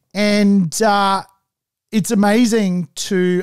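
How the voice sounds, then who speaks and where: Against a quiet background, a man's voice comes through dry, with no echo. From Australia, Sydney Northern Beaches; New South Wales, Australia. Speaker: property investment podcast host. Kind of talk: solo podcast monologue. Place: studio. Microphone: studio mic.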